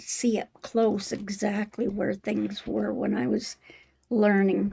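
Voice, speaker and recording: A woman speaks with fairly high pitch and vocal fry. Her pace is fairly slow. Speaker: quilting channel host. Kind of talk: live stream tutorial. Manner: halting.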